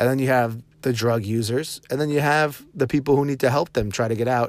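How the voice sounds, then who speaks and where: An unremarkable speaking voice: a man at medium pitch, fairly quick pace, ordinary pitch variation. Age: 30s. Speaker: social media vlogger. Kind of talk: casual monologue. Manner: informal, loose.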